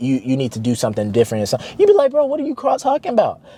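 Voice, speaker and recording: Speaking in an American accent, a man sounds animated, his pitch swinging very widely. There is noticeable background noise. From US South, Arkansas. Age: 20s. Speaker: motivational vlogger. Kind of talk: motivational monologue. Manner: casual, animated.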